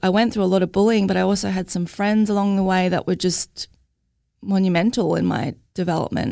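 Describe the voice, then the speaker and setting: In an Australian accent, a dark, mellow voice moves at a fairly quick pace with very even loudness on a very clean recording with a silent background. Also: woman, medium pitch for a woman, fairly even intonation. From Australia, Logan (Queensland). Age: 30s. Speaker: mental health advocate, mother. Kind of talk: interview, personal testimony.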